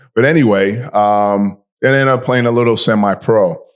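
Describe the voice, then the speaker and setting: With a New York accent, a man speaks at a moderate pace and ordinary pitch variation in a very clean recording with a silent background. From New York City (Bronx). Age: 60s. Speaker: fitness podcast host. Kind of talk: casual podcast chat.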